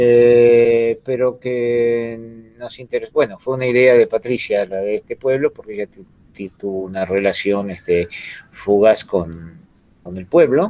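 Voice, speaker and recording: A man's medium-pitched voice with ordinary pitch variation, big swings in loudness, a fairly slow pace, and a dry, close sound with no echo. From Buenos Aires, Argentina. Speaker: author. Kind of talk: book presentation interview.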